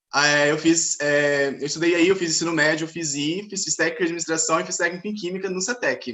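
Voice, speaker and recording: A man's high voice, fairly quick and hardly pausing, with fairly even intonation. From Linhares, Espírito Santo, Brazil. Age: 20s. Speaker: chemistry PhD student. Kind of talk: self-introduction in live panel chat.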